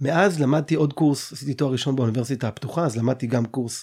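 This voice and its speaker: A somewhat breathy man at a very fast pace, medium pitch, lively intonation and a dark, mellow tone, on a very clean recording with a silent background. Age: 30s. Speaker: podcast host. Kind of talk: interview.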